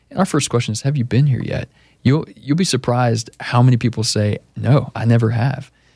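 In an American accent, a man speaks fairly quickly in a somewhat breathy, dark, mellow voice with ordinary pitch variation. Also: medium pitch for a man. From Austin, Texas. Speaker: real estate agent. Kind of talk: radio interview. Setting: radio studio.

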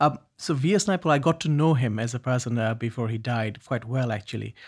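A somewhat breathy man with a Bangladeshi accent at a medium pitch, fairly quick, with ordinary pitch variation, on a very clean recording with a silent background. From Bangladesh, Dhaka. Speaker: poet and festival co-founder. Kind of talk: interview. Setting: studio. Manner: halting.

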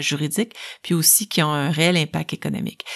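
A woman's very deep, low voice at a moderate pace, with fairly even intonation, in a very clean recording with a silent background. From Quebec, Bas-Saint-Laurent. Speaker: lawyer. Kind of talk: interview.

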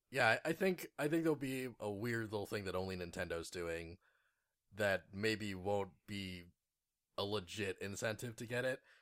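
A man talks at a fairly slow pace in an ordinary speaking voice, pitched fairly low with ordinary pitch variation. The recording is very clean, with a silent background. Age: 30s. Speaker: video game podcast co-host. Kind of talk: casual chat.

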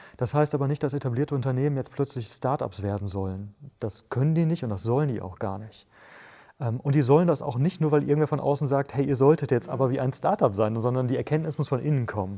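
Delivered at a very fast pace, this man's medium-pitched voice has a dark, mellow tone and ordinary pitch variation. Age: 30s. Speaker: author and entrepreneur. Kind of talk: podcast interview.

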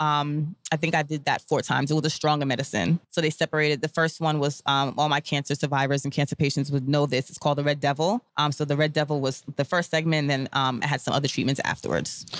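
At a very fast pace, a woman with a very deep, low pitch talks with fairly even intonation, the sound dry and close with no echo on a very clean recording with a silent background. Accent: New York. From US, Brooklyn, New York. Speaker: cancer survivor and stylist. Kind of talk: interview testimony.

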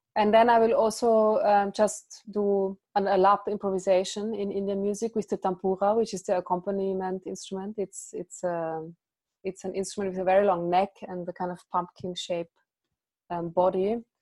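A woman's medium-pitched voice, dark and mellow in tone, at a moderate pace with monotone, flat intonation, in a dry, close sound with no echo. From Austria, Vienna. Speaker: early music musician and singer. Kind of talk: interview. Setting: remote call.

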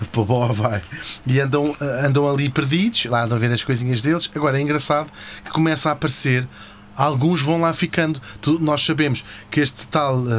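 With a European Portuguese accent, a man speaks at a moderate pace and fairly high pitch, with ordinary pitch variation, very even loudness, long, frequent pauses and noticeable background noise. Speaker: podcast host. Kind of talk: comedic history storytelling. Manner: animated.

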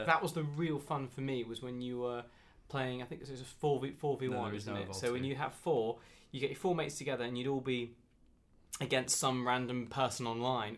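A man with a southern English accent, medium pitch, moderate pace and fairly even intonation. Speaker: podcast co-host or guest.

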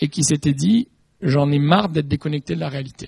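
Somewhat breathy, a man speaks at a moderate pace in a fairly high pitch with ordinary pitch variation, the sound dry and close with no echo. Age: 30s. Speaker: fashion brand executive. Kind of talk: panel talk.

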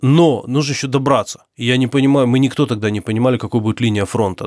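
A man rattles off his words very fast, pitch varying in an ordinary way, on a very clean recording with a silent background. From Ukraine. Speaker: journalist and volunteer soldier. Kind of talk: interview testimony.

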